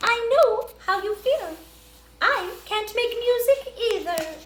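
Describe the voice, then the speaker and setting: Using a put-on character voice, a woman speaks fairly slowly in a squeaky, extremely high pitch. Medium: read story.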